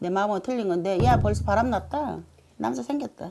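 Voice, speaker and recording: Very wide pitch swings from a woman over noticeable background noise. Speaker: shaman fortune teller. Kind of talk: fortune-telling consultation.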